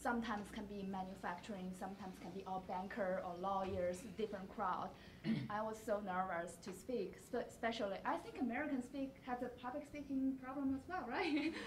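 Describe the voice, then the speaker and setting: A woman speaks fairly quickly at a fairly high pitch, with audible room echo and noticeable background noise. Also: lively intonation. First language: not English. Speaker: alumni panelist. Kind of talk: panel discussion. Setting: campus event with audience.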